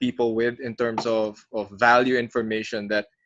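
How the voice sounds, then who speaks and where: A man with a Filipino accent against a quiet background. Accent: Filipino English, code-switching with Tagalog. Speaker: podcast host, broadcasting coach. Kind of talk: podcast interview.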